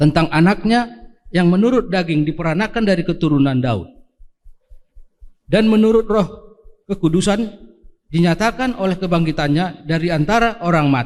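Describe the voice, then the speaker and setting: At a moderate pace, the speaker uses lively intonation. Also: man, high pitch for a man. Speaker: scripture reader in church. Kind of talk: scripture reading. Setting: church service, livestreamed.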